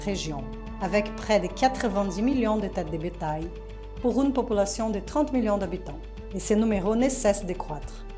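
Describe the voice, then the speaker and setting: A woman with a Portuguese accent at medium pitch, moderate pace and ordinary pitch variation, with music in the background and audible room echo. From Rio de Janeiro, Brazil. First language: Portuguese (speaking French). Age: 40s. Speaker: reporter. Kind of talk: scripted narration.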